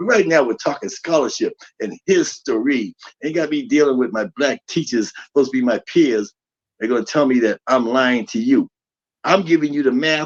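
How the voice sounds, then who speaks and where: A man's fairly high-pitched voice with lively intonation at a moderate pace, dry and close with no echo. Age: 60s. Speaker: spiritual teacher. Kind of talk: lecture. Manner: animated.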